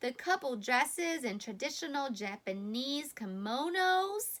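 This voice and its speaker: A woman's put-on character voice, high-pitched, with very wide pitch swings at a fairly slow pace. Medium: read story. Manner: warm, patient.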